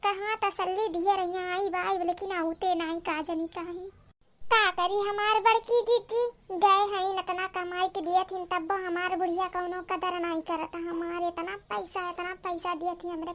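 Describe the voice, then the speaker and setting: It is a cartoonish character voice that sounds female, pitched extremely high. The delivery moves at a moderate pace. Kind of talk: comic rural dialect gossip.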